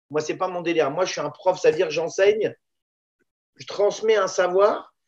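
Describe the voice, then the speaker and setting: A high-pitched male voice at a moderate pace, with fairly even intonation and long, frequent pauses. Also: big swings in loudness. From Paris banlieue (La Courneuve), born in Israel. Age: 50s. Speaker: Thai boxing teacher. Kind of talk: casual interview.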